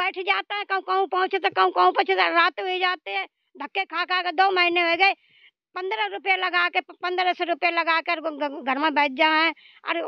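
With a rural Haryanvi accent, a woman speaks at an extremely high pitch and a fairly slow pace, her intonation fairly even, in a dry, echo-free recording with a quiet background. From Haryana, India (Rohtak); Haryana, India. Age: old. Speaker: elderly pensioner. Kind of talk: interview, angry complaint. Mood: angry, scolding complaint. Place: open country. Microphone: handheld.

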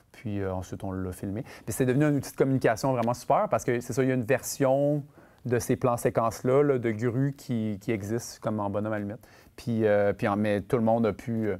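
Quick-paced and dark, mellow in tone, a man speaks with ordinary pitch variation. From Quebec City; Quebec. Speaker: film director; guest. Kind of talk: masterclass interview with audience. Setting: stage with student audience. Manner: halting, many fillers and repetitions. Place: stage. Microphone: lapel.

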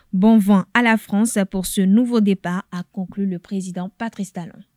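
On a very clean recording with a silent background and a dry, close sound with no echo, a woman speaks fairly slowly in a medium pitch, with flat, monotone intonation. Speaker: TV news anchor. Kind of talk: news reading.

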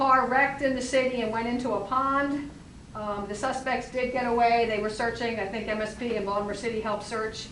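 A fairly quick, fairly evenly intoned voice with audible room echo and noticeable background noise. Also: woman, fairly high pitch for a woman. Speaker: borough council member. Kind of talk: council meeting report. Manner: loud.

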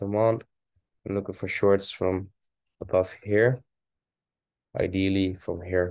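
A man speaks slowly-ish at a fairly slow pace in a fairly low, monotone voice with flat intonation, pausing long and often against a quiet background. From Netherlands. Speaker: forex trading video host. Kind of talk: casual trading analysis monologue. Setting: screen-share video, home. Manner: casual, rambling, self-correcting.

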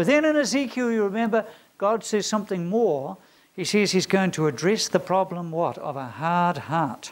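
This man's voice is high in pitch for a man, with lively intonation. He speaks at a moderate pace. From rural farming community. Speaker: theology lecturer. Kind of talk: lecture. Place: classroom. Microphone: lapel.

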